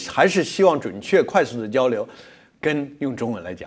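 A man at a moderate pace, with very wide pitch swings. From mainland China. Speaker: logistics company executive; guest. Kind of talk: interview. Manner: halting with many fillers. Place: studio. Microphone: lapel.

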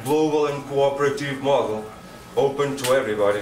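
In a Portuguese accent, a man with a fairly high pitch and ordinary pitch variation speaks at a moderate pace, with audible room echo and light background noise. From Portugal. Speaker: conference presenter. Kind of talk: informal spoken presentation in non-native English. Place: meeting room. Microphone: podium.

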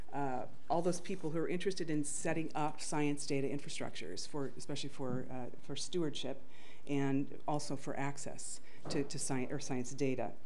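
Some light noise fills the background. Her speech, a woman's, keeps a moderate pace. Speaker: conference presenter. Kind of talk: conference talk. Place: hall.

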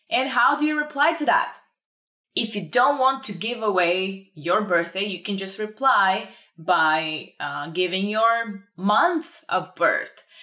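A woman with a Bulgarian accent, very wide pitch swings, a very slow pace, a bright, sharp tone and a quiet background. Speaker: language teacher. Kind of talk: tutorial. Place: home room.

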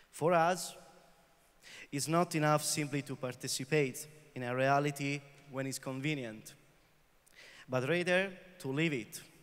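Long, frequent pauses break up a man's fairly slow speech. His pitch is fairly high and his intonation fairly even. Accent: Italian. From northern Italy, Vicenza; northern Italy. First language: Italian. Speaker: peace activist; speaker. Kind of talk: prepared speech. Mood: earnest, serious. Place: hall. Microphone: handheld.

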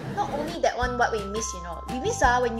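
A woman with a Malaysian accent speaks while clear music plays in the background. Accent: Malaysian English (Manglish). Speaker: vlogger. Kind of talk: casual talk to camera. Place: home room.

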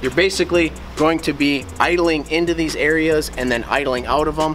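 A man speaks at a fairly quick pace while music plays in the background. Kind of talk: casual vlog chat. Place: street.

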